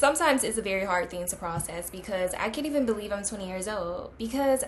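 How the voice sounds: A woman talks at a fairly quick pace. Her pitch sits at a medium level.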